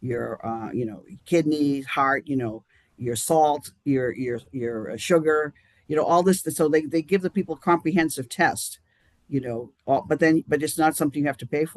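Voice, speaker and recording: Someone with a Boston accent speaks at a moderate pace, the sound dry and close with no echo. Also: man, fairly high pitch for a man, ordinary pitch variation. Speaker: chairman of a charity action group. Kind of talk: live-streamed interview. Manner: halting, many restarts.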